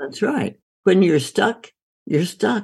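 A woman's fairly low voice with vocal fry and very wide pitch swings. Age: 80s+. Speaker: doctor and author. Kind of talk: interview conversation.

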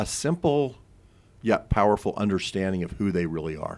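Recorded very cleanly against a silent background, a man with a very deep, low voice speaks at a moderate pace. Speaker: workshop facilitator. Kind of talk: radio interview.

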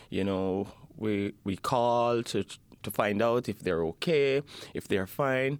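A man's medium-pitched voice at a very slow pace, with ordinary pitch variation, in a very clean recording with a silent background. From Jamaica. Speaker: refugee, member of a support group. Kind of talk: interview. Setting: studio.

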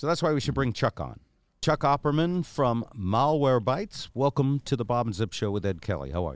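At a fairly quick pace, a man with an ordinary speaking voice and a medium pitch talks with lively intonation. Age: 60s. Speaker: podcast host. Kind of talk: casual chat. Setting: studio.

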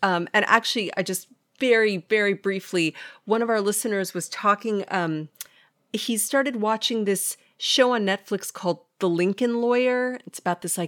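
A woman's plain, everyday voice, fairly high in pitch with ordinary pitch variation, at a moderate pace on a very clean recording with a silent background. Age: 40s. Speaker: podcast co-host. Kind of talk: casual chat.

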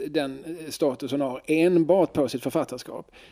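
A man with an unremarkable speaking voice, fairly high pitched, at a fairly slow pace. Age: 40s. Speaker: podcast co-host. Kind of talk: casual chat.

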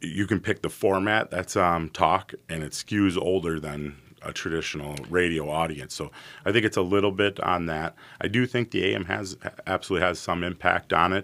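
At a moderate pace, a man with an American accent speaks at a very deep, low pitch. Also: ordinary pitch variation. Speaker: radio station owner. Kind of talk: casual interview.

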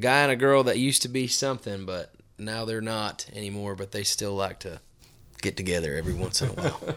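A man with an unremarkable speaking voice talks at a fairly quick pace and fairly low pitch, with ordinary pitch variation. The recording is very clean, with a silent background. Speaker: country singer. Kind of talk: casual chat. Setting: studio.

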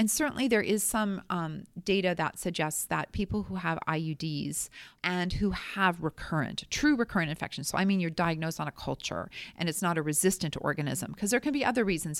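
A woman talks at a fairly quick pace with hardly any pauses, a fairly low pitch, vocal fry and lively intonation. The recording is very clean, the background silent. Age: 50s. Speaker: gynecologist and author. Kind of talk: interview.

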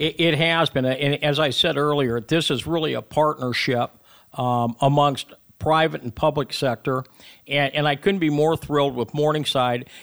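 Speaking in an Upper Midwest accent, a man keeps a fairly high pitch, a moderate pace, and fairly even intonation. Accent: Upper Midwest American. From Iowa, Sioux City. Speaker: retired fighter pilot, aviation program director. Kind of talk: radio interview. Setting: radio studio.

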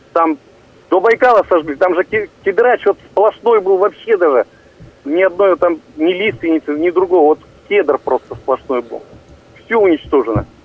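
Speaking at a moderate pace with lively intonation, a man with a high-pitched voice leaves long, frequent pauses. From Russia, Irkutsk region. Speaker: caller. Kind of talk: call-in question.

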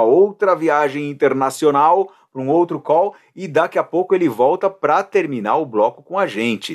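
A man with an unremarkable speaking voice, fairly high in pitch, with lively intonation and a moderate pace. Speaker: podcast host. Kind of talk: casual chat.

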